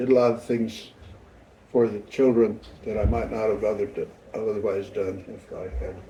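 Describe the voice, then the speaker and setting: A man's somewhat breathy, dark and mellow voice carries audible room echo, swinging widely in loudness at a moderate pace, with fairly even intonation and long, frequent pauses. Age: 70s. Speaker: grandfather being interviewed. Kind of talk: family interview. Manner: halting.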